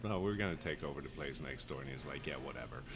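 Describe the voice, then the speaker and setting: Man's voice with vocal fry. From Sweden. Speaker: chef and restaurant co-owner. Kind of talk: interview.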